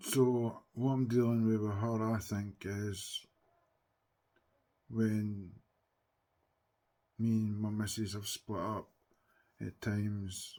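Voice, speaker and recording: With a Scottish accent, the speaker uses a dark, mellow tone and monotone, flat intonation at a very slow pace broken by long, frequent pauses. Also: man, fairly low pitch for a man. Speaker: TikTok live streamer. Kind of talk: casual chat. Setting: livestream. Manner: loud.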